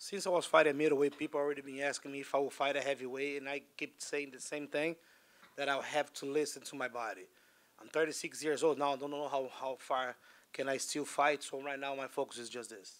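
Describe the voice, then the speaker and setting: Fairly even intonation from a man at a fairly quick pace. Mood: calm, measured. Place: hall. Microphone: handheld.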